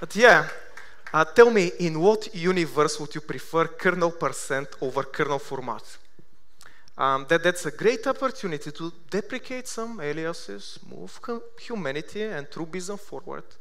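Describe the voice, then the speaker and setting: A man with a Bulgarian accent speaks at a high pitch and moderate pace, his intonation lively. His loudness swings widely, and room echo is audible. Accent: Bulgarian accent, sounds Russian. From Bulgaria, Sofia. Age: 30s. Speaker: software developer, conference speaker. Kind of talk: conference talk. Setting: stage with audience. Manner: hesitant, with fillers.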